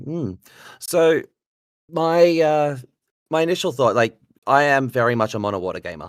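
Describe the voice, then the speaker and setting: Speech comes at a fairly slow pace in an Australian accent. The recording is very clean, with a silent background. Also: man. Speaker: card game player, podcaster. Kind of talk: casual chat.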